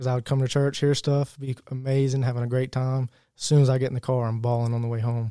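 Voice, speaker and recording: In a Virginia accent, a man speaks at a very fast pace with monotone, flat intonation, a dark, mellow tone and medium pitch, and the sound is dry and close with no echo. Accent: Southern US (Virginia). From Virginia, US. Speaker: church member, new convert. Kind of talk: testimony.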